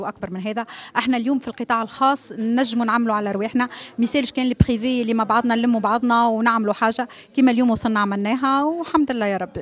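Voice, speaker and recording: A woman with a fairly high pitch talks at a very fast pace, and the sound is dry with no echo. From Tunisia. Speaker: festival organizer. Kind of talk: press interview. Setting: press conference. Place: hall. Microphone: handheld.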